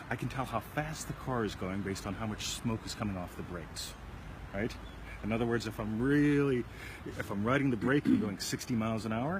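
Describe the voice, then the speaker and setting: Noticeable background noise accompanies speech at a fairly quick pace with ordinary pitch variation. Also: man. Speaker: self-help video show host. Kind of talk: casual chat. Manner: fast.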